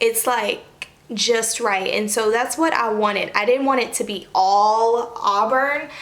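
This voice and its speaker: Against noticeable background noise and audible room echo, a woman speaks in a high pitch with ordinary pitch variation. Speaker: beauty vlogger. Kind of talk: casual vlog talk to camera.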